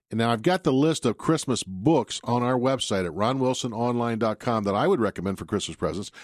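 Against a quiet background, a man speaks fairly quickly at a medium pitch. It is a plain, everyday voice. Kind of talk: radio DJ patter: live call-in gardening show opening with banter and plugs. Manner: upbeat, chatty, jokey, rapid-fire with frequent interruptions.

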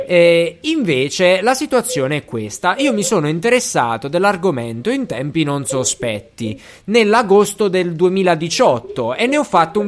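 With an animated tone, a man speaks fairly slowly at a high pitch, his voice making very wide pitch swings. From Basilicata, southern Italy. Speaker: podcast host. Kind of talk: casual chat.

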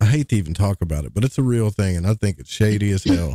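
A man with an Arkansas accent speaks with a fairly low pitch and a dark, mellow tone. The sound is dry and close, with no echo. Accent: Arkansas Southern drawl. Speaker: podcast host. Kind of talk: casual chat. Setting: livestream with chat.

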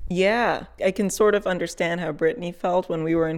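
On a very clean recording with a silent background, a woman with a Californian accent speaks at a moderate pace in a fairly low pitch with ordinary pitch variation. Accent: Californian American English. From Fresno, California. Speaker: podcast reporter. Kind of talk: casual chat.

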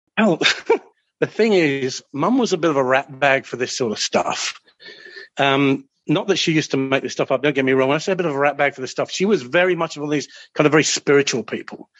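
He speaks with an Australian accent. The man's delivery is very fast. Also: fairly high pitch for a man, ordinary pitch variation. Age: 50s. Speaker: train controller. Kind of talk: storytelling.

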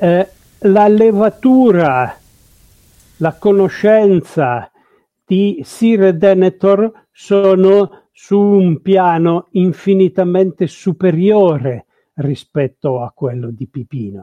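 A man's high-pitched, dark, mellow voice with lively intonation at a very slow pace, long, frequent pauses, and a dry, close sound with no echo against a quiet background. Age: 60s. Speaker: paleontologist and Tolkien scholar. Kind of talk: lecture.

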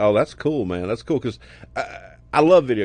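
Speaking in a Southern US accent with an animated tone, the voice keeps a moderate pace against a quiet background. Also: man. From US South, Alabama. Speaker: podcast host. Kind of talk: casual interview.

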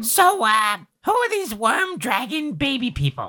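A put-on, female-sounding character voice, high-pitched with very wide pitch swings, at a moderate pace. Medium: actual play. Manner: eager, blunt.

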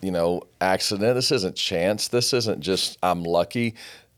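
The recording is very clean, with a silent background. A man speaks at a moderate pace in a normal speaking voice with ordinary pitch variation. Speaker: podcast host. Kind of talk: casual interview conversation, motivational.

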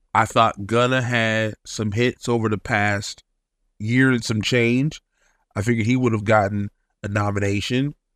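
The sound is dry and close, with no echo. A man speaks fairly slowly at a medium pitch in monotone, flat intonation. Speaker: radio host. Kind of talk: radio DJ patter, casual podcast monologue.

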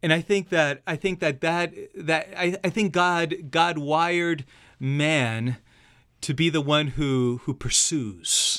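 In a very clean recording with a silent background, a man speaks at a very slow pace with a bright, sharp tone, a fairly high pitch and ordinary pitch variation. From Argentina. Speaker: pastor. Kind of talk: casual chat. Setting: studio.

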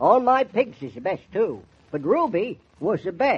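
A man puts on a character voice with a high pitch, big pitch swings, a husky, rough edge and a fairly slow pace.

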